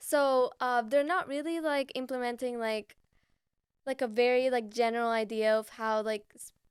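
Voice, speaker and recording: With a slight Venezuelan accent, a woman speaks at a moderate pace in a high pitch, her loudness swinging widely while her pitch varies in an ordinary way. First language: Spanish. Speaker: podcast co-host. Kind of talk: casual chat.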